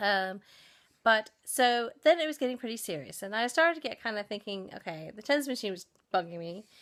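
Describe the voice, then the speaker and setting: A woman with an American accent speaks at a fairly quick pace in a fairly high pitch, with very wide pitch swings and big swings in loudness. The recording is very clean, with a silent background. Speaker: vlogger. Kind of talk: personal storytelling vlog. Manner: hesitant, many fillers.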